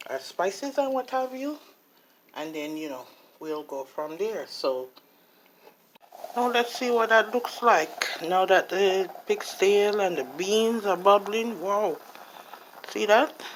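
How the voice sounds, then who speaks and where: Speech comes at a very slow pace with long, frequent pauses over noticeable background noise. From Jamaica. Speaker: home cook. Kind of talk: cooking tutorial. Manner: casual, hesitant with fillers.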